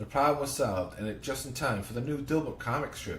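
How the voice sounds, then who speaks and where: Amid audible room echo, a man talks very fast with lively intonation. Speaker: podcast host. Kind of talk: reading aloud. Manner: halting.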